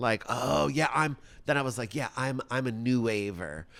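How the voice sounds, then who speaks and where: The speaker is a man with an American accent. His tone is bright and sharp. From New York, Rockland County. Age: 50s. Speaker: drag performer. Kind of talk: casual chat.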